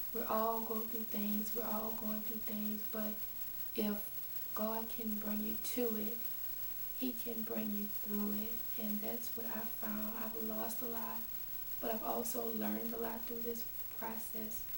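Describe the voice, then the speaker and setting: A woman talks fairly slowly. Noticeable noise can be heard behind her. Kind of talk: personal testimony talk to camera.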